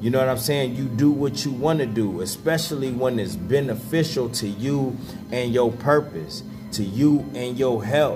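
A man at a moderate pace with ordinary pitch variation, clear music playing behind him. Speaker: vlogger. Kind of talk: casual vlog chat. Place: home room. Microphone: phone near.

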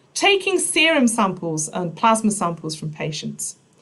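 At a moderate pace, the voice swings very widely in pitch. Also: woman. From Nottinghamshire, England. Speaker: biochemistry professor; professor giving a talk. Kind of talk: public science lecture. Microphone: webcam.

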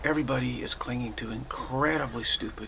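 A man at a moderate pace, with noticeable background noise behind him. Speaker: spiritual teacher. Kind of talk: spiritual talk. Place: home room. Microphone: webcam.

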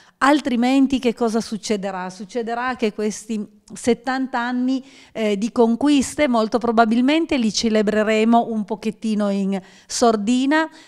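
Against a quiet background, a woman with an ordinary speaking voice talks at a fairly slow pace, her fairly high pitch showing ordinary variation. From mountain area of Piedmont, Italy. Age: 50s. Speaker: regional politician. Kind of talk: panel discussion. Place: office. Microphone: handheld.

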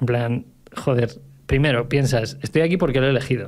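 At a fairly quick pace, a man with a medium pitch and fairly even intonation talks in an unremarkable speaking voice. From Segovia, Spain; Spain. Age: 30s. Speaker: entrepreneur; podcast guest. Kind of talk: casual chat. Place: studio. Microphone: studio mic.

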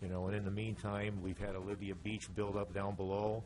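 A man speaks with a fairly low pitch and ordinary pitch variation. Audible room echo surrounds his voice. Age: 70s. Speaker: resident speaking at public comment. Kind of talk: public comment at city council meeting. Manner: halting, many fillers and repetitions.

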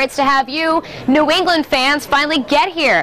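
A woman is speaking. Light background noise is audible. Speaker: TV news reporter. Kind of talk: live news report. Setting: on location. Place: hall. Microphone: lapel.

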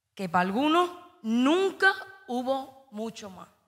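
In an Andalusian accent, a woman talks at a very slow pace against a quiet background. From Andalusia, Spain. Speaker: slam poet. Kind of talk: poetry performance. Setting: stage with audience. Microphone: handheld.

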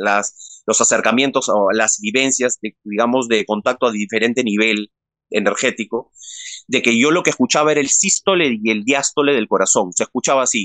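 The voice has a bright, sharp tone and a Peruvian accent, moving at a moderate pace with ordinary pitch variation in a dry sound with no echo and a quiet background. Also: man. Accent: Peruvian Spanish (Lima). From Peru, Lima. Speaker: interview guest. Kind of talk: personal testimony in an interview. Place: home room. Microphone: phone near.

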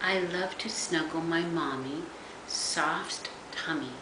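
Over noticeable background noise, a woman talks at a very slow pace. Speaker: grandmother reading to grandchildren. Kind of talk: bedtime story reading aloud to young children. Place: home room. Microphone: webcam.

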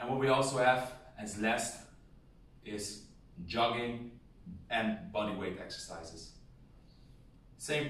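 At a fairly slow pace, a man speaks with fairly even intonation amid audible room echo. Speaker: boxing coach. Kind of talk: tutorial. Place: home room. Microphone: camera far.

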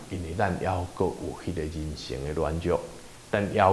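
Over light background noise, a man speaks with a Taiwanese accent, and there is audible room echo. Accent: Taiwanese Hokkien. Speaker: pastor leading Bible study. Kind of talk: Bible study teaching. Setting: church. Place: meeting room. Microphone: lapel.

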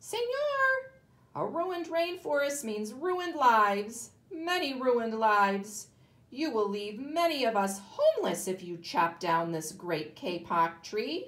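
A woman uses a squeaky, put-on character voice at a fairly high pitch. Her pitch swings very widely and her pace is fairly slow. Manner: pleading, earnest.

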